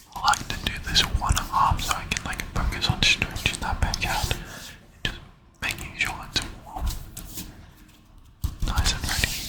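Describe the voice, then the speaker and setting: A man is whispering, leaving long, frequent pauses. Noticeable background noise runs underneath. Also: moderate pace. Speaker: ASMR creator and gym-goer. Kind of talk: whispered gym voiceover, ASMR. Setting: gym, close-up mic.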